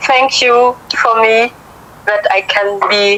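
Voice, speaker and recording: A woman speaks at a very slow pace in a fairly high pitch. Her intonation is monotone and flat, with noticeable background noise. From Africa. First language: French. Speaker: viewer calling in. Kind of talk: casual chat. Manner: halting. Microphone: cutting out connection.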